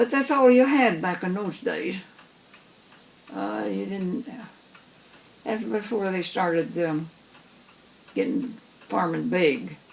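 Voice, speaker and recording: Amid noticeable background noise, a woman speaks at a very slow pace with long, frequent pauses and very wide pitch swings. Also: medium pitch for a woman. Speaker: farm family elder recalling the past. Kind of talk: interview answer. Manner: casual, reminiscing.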